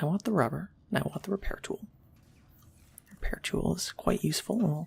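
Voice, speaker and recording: Soft-spoken delivery at a fairly quick pace. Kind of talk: ASMR gameplay commentary. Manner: soft-spoken, quiet.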